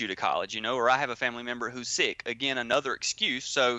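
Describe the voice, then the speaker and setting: Speaking in a Southern US accent, a man holds a medium pitch. His delivery is monotone, with flat intonation. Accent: Southern drawl. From US South, Georgia. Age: 20s. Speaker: entrepreneur. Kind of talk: interview. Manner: many fillers and repeated words.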